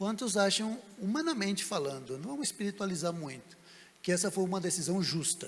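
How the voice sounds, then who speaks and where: The man's high voice carries lively intonation. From Brazil. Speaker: pastor. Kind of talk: sermon. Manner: animated.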